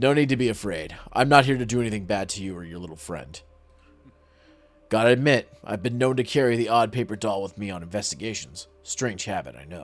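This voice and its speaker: Over faint music in the background, a man puts on a gruff character voice at a medium pitch, speaking at a fairly quick pace with big swings in loudness. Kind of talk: hard-boiled detective talk. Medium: virtual streamer. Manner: gruff, clipped and sardonic.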